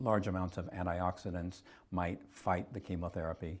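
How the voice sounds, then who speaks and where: On a very clean recording with a silent background, a man speaks at a moderate pace in a very deep, low pitch. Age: 70s. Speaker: cancer survivor sharing health story. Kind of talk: testimony. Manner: halting, many repeated words and fillers; earnest.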